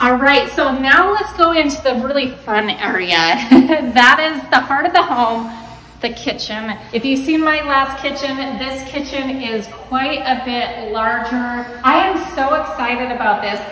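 A woman's raised, projected voice with lively intonation, audible room echo and light background noise. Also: fairly slow pace. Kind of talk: casual vlog chat. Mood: excited, cheerful. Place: home room. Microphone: phone near.

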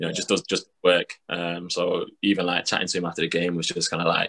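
A man speaks with a Mancunian accent at a very fast pace. The background is quiet. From Manchester, England. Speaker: professional basketball player; guest. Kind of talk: casual chat. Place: home room. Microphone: video call.

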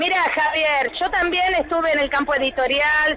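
Over noticeable background noise, a woman speaks in a raised, projected voice at a moderate pace, with an animated tone and ordinary pitch variation. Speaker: teacher. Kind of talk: radio interview.

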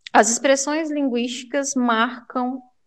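With fairly even intonation, a woman speaks at a very slow pace. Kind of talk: lecture, explanatory speech with hesitations.

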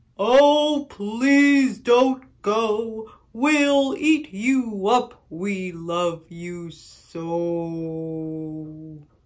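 Delivered in a put-on character voice, the speech has a fairly high pitch and a very slow pace. There are hardly any pauses. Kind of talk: children's story. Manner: growly, playful, big.

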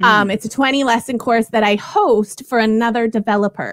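In a dry recording with no echo and a quiet background, a woman speaks at a fairly high pitch. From Canada. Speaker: ESL curriculum creator and former teacher; ESL curriculum creator, former teacher. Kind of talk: interview conversation. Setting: video call from home in the UK. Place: home room. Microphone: headset.

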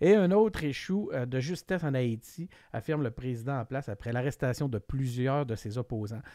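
Lively intonation marks a man's dark, mellow voice at a moderate pace. The sound is dry with no echo, and the background is quiet. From Quebec. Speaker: political podcast host; podcast host. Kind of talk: casual chat. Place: home room. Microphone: studio mic.

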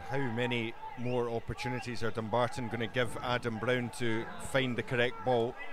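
A man with a Scottish accent speaks in a monotone, flat way. The sound is dry with no echo, though background noise is noticeable. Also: moderate pace. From Scotland. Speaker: match commentator. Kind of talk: live football commentary. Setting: stadium, outdoors in bad weather.

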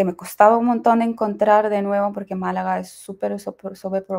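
Against a quiet background, a woman speaks with monotone, flat intonation. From Ukraine. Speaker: Spanish translator and language learner; interview guest. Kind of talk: interview. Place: home room. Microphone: video call.

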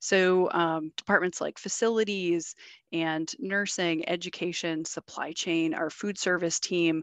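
In a dry, close recording with no echo, a woman speaks at a fairly slow pace, her fairly low pitch held in fairly even intonation.

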